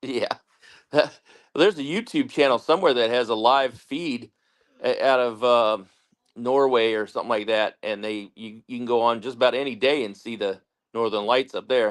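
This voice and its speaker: A man talks at a moderate speed and medium pitch in a normal speaking voice, his pitch moving in an ordinary way. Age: 50s. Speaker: co-host or guest on homestead livestream. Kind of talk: casual chat.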